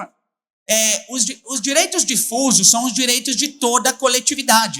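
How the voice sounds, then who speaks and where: Extremely high-pitched male voice at a moderate pace with an Italian accent. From Italy. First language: Italian (speaking Portuguese). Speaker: public prosecutor and lecturer. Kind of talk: conference talk. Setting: stage with audience. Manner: mumbled speech.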